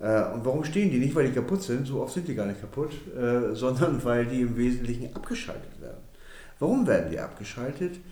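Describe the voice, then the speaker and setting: A man's medium-pitched voice at a fairly quick pace, lively in intonation, with audible room echo. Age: 60s. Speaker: energy company managing director. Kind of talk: interview. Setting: office.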